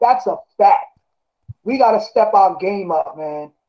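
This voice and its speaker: A man with a high-pitched voice. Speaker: Five Percenter speaker on nation building. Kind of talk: heated debate. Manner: fast; animated.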